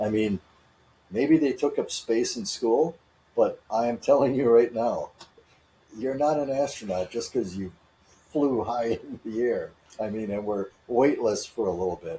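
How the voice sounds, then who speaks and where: Long, frequent pauses mark this man's speech. He talks at a fairly slow pace. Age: 60s. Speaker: podcast co-host. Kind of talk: casual chat.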